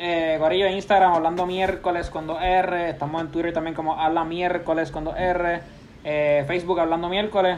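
Speaking at a high pitch, a man keeps a monotone, flat intonation at a moderate pace. Audible room echo is present. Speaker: podcast host. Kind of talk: casual chat.

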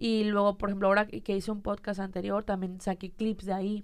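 A woman is talking. Her delivery is fairly quick. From Mexico, Monterrey. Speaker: content creator. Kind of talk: casual chat.

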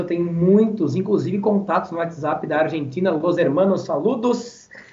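Over noticeable background noise, a man speaks at a fairly quick pace with a high pitch and ordinary pitch variation. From Rio Grande do Sul, Brazil (Barão do Triunfo, rural). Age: 20s. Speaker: event presenter and radio announcer. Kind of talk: casual interview chat. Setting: live-streamed podcast.

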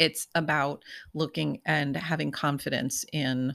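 A woman speaks in a very deep, low voice with an American accent and vocal fry. Her pitch varies in an ordinary way. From New Jersey. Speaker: podcast co-host. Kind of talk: casual chat.

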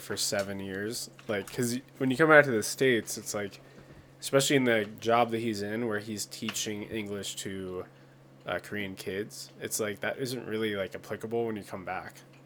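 A man with an American accent and an ordinary speaking voice, fairly low in pitch, at a moderate pace with fairly even intonation. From rural Pennsylvania. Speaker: podcast co-host. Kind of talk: casual chat.

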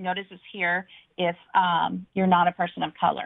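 A woman's medium-pitched voice with an American accent, at a fairly slow pace. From Washington State, Badger Canyon area. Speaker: county commissioner candidate. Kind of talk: radio interview. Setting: phone call.

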